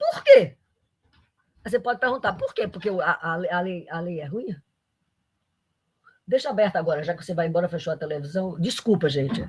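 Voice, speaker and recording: A woman's fairly low, somewhat breathy voice at a fairly quick pace, with lively intonation, big swings in loudness, and long, frequent pauses. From Brazil, Paraíba (Campina Grande). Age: 80s+. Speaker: economics professor. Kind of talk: lecture. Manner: halting, many restarts.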